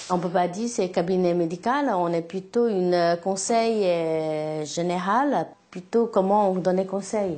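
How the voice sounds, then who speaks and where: Amid noticeable background noise, a woman speaks at a medium pitch and a very slow pace with ordinary pitch variation. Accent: Chinese. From China. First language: Chinese (speaking French). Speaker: herbalist shop owner, Chinese medicine doctor. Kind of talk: explanation to interviewer. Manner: halting.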